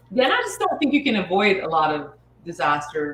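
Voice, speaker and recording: A woman's voice with ordinary pitch variation, set against noticeable background noise. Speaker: chef and cookbook author. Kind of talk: casual interview. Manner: whispering.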